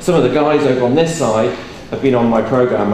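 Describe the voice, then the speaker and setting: Speaking at a fairly quick pace, a man with a medium pitch and ordinary pitch variation is heard with audible room echo and noticeable background noise. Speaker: motivational speaker. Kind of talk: talk to live audience. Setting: stage with audience. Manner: loud; casual.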